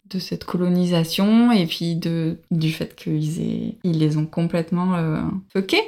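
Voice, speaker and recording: This is a woman with a plain, everyday voice. Her pitch is fairly low, and her intonation is fairly even. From France, Bordeaux. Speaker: early childhood educator and traveller. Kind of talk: interview testimony.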